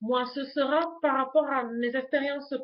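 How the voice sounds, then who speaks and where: With a Toulouse accent, a woman talks at a fairly slow pace in a high pitch. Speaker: YouTuber, lifestyle vlogger. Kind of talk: casual vlog introduction to webcam. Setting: home webcam recording. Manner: hesitant, many fillers (euh).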